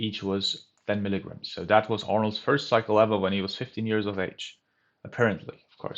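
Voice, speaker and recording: With a German accent, a man talks at a moderate pace in a fairly low pitch. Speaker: bodybuilding youtuber. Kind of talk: casual vlog talk.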